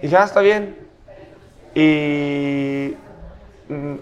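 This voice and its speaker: Noticeable background noise and audible room echo around a male voice with ordinary pitch variation. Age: 30s. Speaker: metal band musician. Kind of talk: casual chat. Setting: brewery.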